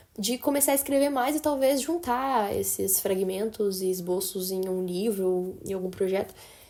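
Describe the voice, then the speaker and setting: The speaker is a woman with a medium-pitched voice. Her tone is dark and mellow, and her pace is moderate. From interior of São Paulo state, Brazil (Assis). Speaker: podcast host. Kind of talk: casual chat. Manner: animated.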